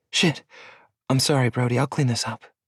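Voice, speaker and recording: A man's raspy, put-on character voice at medium pitch, fairly quick, with a dry, close sound and no echo. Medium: read story. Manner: defensive, shaken.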